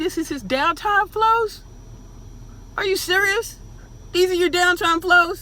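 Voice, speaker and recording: A woman with an extremely high pitch speaks in a raised, projected voice. Her pace is fairly slow, with long, frequent pauses. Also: ordinary pitch variation. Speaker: reaction video host. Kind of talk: reaction commentary. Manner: animated.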